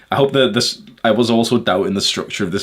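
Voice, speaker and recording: The speaker is a man talking at a fairly quick pace. Ordinary variation shows in his pitch. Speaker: YouTuber. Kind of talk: casual vlog monologue. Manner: halting.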